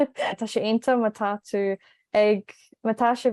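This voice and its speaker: A woman with an Irish accent and fairly high pitch, in a dry, close sound with no echo. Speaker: language learner and video host. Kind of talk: casual chat.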